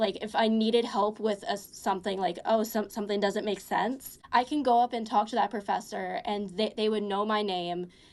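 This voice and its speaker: A woman at a moderate pace with hardly any pauses. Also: fairly high pitch for a woman, ordinary pitch variation. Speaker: college student. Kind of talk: casual interview chat. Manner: halting, many fillers.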